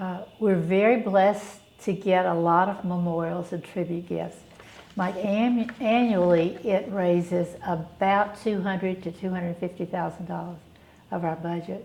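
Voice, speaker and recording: With a Southern US accent, a woman speaks at a fairly slow pace with a medium pitch and fairly even intonation. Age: 70s. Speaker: charity director. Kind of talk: interview.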